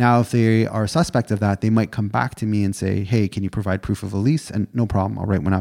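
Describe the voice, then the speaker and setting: A man with a Canadian accent speaks at a very fast pace with hardly any pauses, using a fairly low pitch, ordinary pitch variation and a dark, mellow tone, in a dry, close sound with no echo. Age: 30s. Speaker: realtor and podcast co-host. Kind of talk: casual chat.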